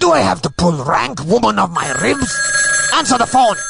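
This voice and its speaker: A man does a put-on character voice at a high pitch and a moderate pace. His loudness stays very even, with clear music in the background. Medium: audio drama. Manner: jovial, florid insults.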